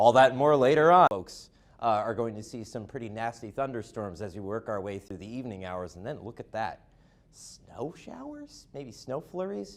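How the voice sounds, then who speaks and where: Speaking at a moderate pace with lively intonation, a man has an unremarkable speaking voice of medium pitch and big swings in loudness. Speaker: weather forecaster, student broadcaster. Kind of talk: TV weather forecast presentation.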